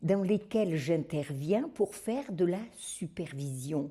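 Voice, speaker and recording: A somewhat breathy voice belongs to a woman. Her tone is dark and mellow. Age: 70s. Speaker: retired special educator, supervisor. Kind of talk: video testimonial.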